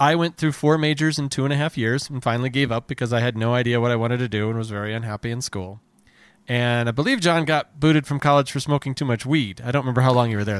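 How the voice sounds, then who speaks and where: Over a silent background on a very clean recording, a man with an American accent talks very fast at a medium pitch with ordinary pitch variation. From New Jersey. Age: 40s. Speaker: comedy podcast host. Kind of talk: casual chat; scripted narration.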